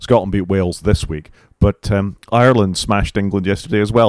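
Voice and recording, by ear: A man speaks with a fairly low pitch and a slightly mellow tone. His pitch varies in an ordinary way.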